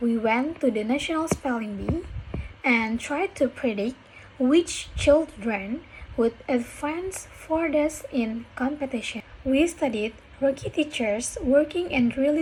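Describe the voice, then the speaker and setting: A woman speaks at a very slow pace in a high pitch, with ordinary pitch variation. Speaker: university student. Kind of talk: reading a speech aloud for pronunciation practice. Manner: careful, deliberate.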